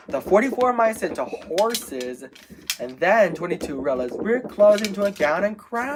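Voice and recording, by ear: A text is read aloud in a natural voice.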